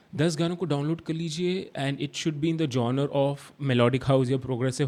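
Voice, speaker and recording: A man with a Hyderabadi accent speaks at a fairly high pitch. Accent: Hyderabadi Hindi. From India, Hyderabad. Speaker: DJ instructor. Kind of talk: tutorial. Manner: halting, many fillers and restarts; Hindi-English code-switching.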